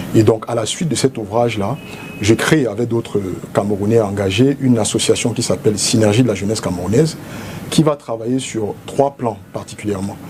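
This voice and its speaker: Over noticeable background noise, a man speaks at a fairly quick pace with medium pitch and ordinary pitch variation. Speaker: politician, presidential candidate. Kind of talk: TV interview. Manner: formal.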